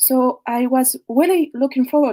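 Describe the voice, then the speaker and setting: With a French accent, a woman speaks at a fairly slow pace with lively intonation in a dry, close sound with no echo. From France. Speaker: caller. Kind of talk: testimony. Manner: halting. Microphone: too quiet.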